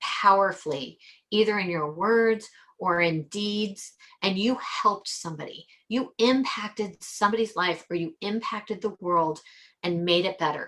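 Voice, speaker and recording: A woman's medium pitch, ordinary pitch variation, and moderate pace. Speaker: life coach podcast host. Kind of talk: motivational podcast monologue.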